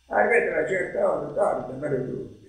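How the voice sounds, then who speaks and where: Audible room echo surrounds a man's voice. Behind him the background is quiet. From Matera, southern Italy. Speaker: retired schoolteacher. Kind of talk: interview answer. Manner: ironic, humorous storytelling. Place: home room. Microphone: camera far.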